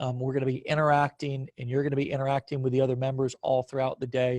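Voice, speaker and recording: A man speaks very fast at a medium pitch in a flat monotone, with a dry, close sound and no echo. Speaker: online marketing coach. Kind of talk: promotional video chat.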